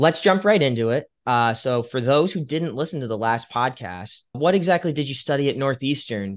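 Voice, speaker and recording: A man with an unremarkable speaking voice talks at a moderate pace and medium pitch, with lively intonation and hardly any pauses. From Fairfield County, Connecticut. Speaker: podcast host. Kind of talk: interview.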